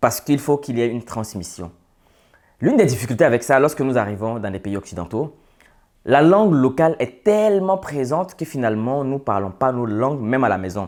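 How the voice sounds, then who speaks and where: On a very clean recording with a silent background, a man with an unremarkable speaking voice talks at a fairly quick pace with lively intonation. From Côte d'Ivoire (urban, Senufo family). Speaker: social and business commentator. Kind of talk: monologue to camera.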